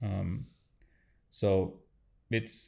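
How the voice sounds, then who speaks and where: A man talks with a fairly low pitch. The recording is very clean, with a silent background. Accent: non-native. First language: not English. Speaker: podcast host. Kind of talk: interview conversation. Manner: halting, many fillers.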